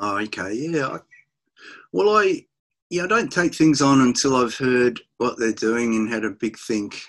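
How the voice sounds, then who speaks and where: Against a quiet background, a man talks at a fairly slow pace. His intonation is lively. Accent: Australian. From Australia. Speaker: rock musician; interviewee. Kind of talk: interview. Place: home room. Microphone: webcam.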